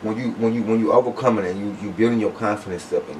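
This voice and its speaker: With an American accent, a man of fairly low pitch speaks at a fairly quick pace with fairly even intonation over noticeable background noise. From Flint, Michigan. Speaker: interviewer. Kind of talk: interview.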